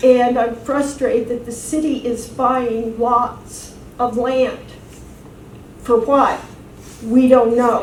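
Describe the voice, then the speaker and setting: A woman talks at a very slow pace in a high pitch with monotone, flat intonation, amid audible room echo and noticeable background noise. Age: 60s. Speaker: city council candidate. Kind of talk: campaign speech. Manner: hesitant, many fillers.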